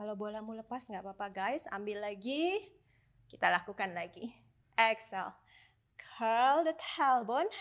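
A woman speaks at a moderate pace in a fairly high voice with lively intonation and big swings in loudness. The background is quiet. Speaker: Pilates instructor. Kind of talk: workout instruction cues. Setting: home studio, video workout. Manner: instructional, steady, encouraging, slightly breathless when the moves get hard. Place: home room. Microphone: lapel.

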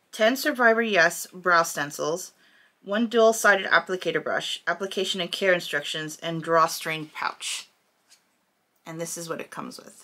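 A woman's fairly low voice, bright and sharp in tone, with ordinary pitch variation and big swings in loudness. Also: moderate pace. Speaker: hair vlogger. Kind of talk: casual talk to camera. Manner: hesitant, with many 'umms'. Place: home room.

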